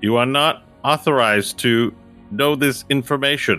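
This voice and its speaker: With faint music in the background, a man does a put-on character voice at medium pitch and a moderate pace. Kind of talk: formal, mechanical. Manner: stern, robotic, authoritative.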